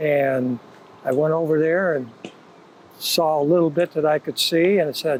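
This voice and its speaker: The speech comes at a fairly slow pace with fairly even intonation, and there is noticeable background noise. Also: man. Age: 70s. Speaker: paintball player. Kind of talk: casual interview. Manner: halting.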